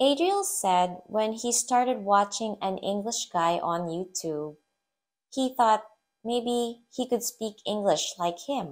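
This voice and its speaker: Speaking in an American accent, a woman with a fairly high voice goes at a very slow pace with lively intonation. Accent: mostly American-leaning English. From Philippines. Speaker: English teacher and YouTuber. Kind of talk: tutorial.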